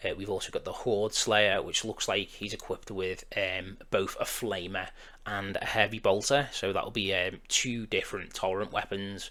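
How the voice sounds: A man's low-pitched voice has a bright, sharp tone and fairly even intonation. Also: moderate pace.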